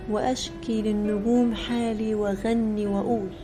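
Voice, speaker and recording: Music plays behind a woman who speaks at a very slow pace with an Egyptian accent. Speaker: poet. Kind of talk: poetry reading.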